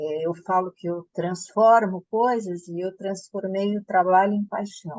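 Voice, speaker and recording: The sound is dry and close with no echo. A woman speaks at a medium pitch with ordinary pitch variation. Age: 60s. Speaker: author and former fashion entrepreneur. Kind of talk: interview.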